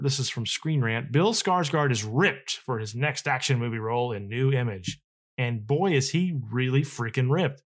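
Ordinary pitch variation and a moderate pace in a plain, everyday voice, very clean recording, silent background. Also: man. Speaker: podcast host. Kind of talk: casual chat.

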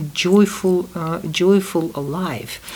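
A woman with a Russian accent speaks at medium pitch with ordinary pitch variation. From Uzbekistan (Tashkent), Soviet Union. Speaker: podcast host's mother. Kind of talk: family conversation. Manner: halting.

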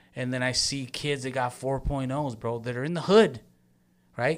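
An American accent marks this man's moderate-paced speech, pitched in the medium range with ordinary pitch variation. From Long Beach, California. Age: 40s. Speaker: community activist. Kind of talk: casual chat.

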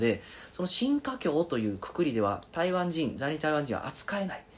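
With very wide pitch swings, a man speaks fairly quickly at a fairly high pitch. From Kobe, Japan. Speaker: researcher. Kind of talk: interview. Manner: halting.

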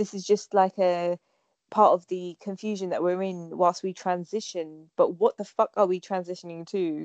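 A woman at medium pitch in a normal speaking voice, dry and close with no echo, over a quiet background. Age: young. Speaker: stand-up comedian and podcaster. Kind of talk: casual chat. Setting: remote call.

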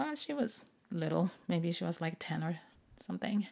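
Relaxed, dark and mellow tone from a woman with a Japanese accent. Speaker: podcast host and English teacher. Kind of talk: casual bilingual monologue. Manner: relaxed, unhurried.

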